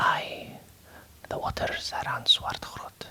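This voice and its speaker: Whispering in a gentle tone at a very slow pace, over noticeable background noise. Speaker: author reading and editing her own novel. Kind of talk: ASMR proofreading and reading aloud. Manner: soft-spoken, whispered, gentle.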